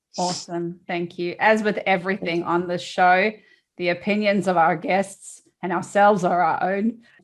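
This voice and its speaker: Against a quiet background, a woman of medium pitch speaks at a moderate pace in a flat monotone. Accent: South African. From South Africa. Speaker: podcast host. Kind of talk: casual chat.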